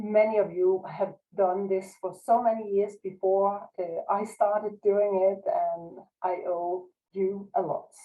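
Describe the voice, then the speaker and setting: A woman with a non-native accent, medium-pitched, at a very slow pace and with fairly even intonation. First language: Danish. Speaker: researcher. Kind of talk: lecture. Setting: video call. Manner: halting.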